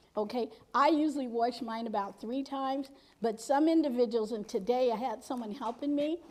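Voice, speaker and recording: This woman is loud and high-pitched, holding a moderate pace with ordinary pitch variation. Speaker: cooking instructor. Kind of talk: cooking demonstration.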